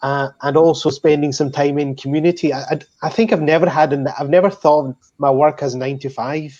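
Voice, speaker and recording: With a Scottish accent, a man speaks in a fairly high, dark and mellow voice with fairly even intonation against a quiet background. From Scotland. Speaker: pharmacist. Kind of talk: panel discussion.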